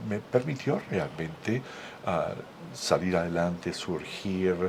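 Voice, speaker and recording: A man speaks at a fairly slow pace. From Venezuela. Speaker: radio and TV host. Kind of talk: interview conversation. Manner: hesitant with fillers.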